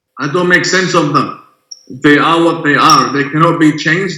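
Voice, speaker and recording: Fairly high in pitch, a man speaks with an Arabic accent and fairly even intonation. Room echo is audible. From Iran / Middle East. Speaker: imam. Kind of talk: interview discussion.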